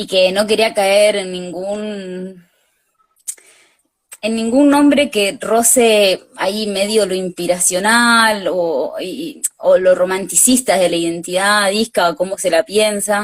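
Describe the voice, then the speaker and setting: Very slow female speech, medium in pitch, with ordinary pitch variation. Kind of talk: live interview. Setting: video call.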